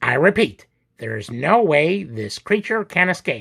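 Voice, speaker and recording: A man uses a squeaky put-on character voice, high in pitch, with very wide pitch swings. He speaks at a moderate pace. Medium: read story.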